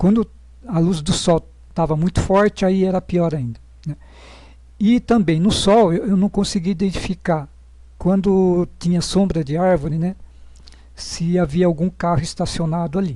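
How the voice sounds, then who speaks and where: A high-pitched male voice with a dark, mellow tone, ordinary pitch variation, a moderate pace and long, frequent pauses. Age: 60s. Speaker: patient sharing experience. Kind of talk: personal testimony. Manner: halting, many fillers.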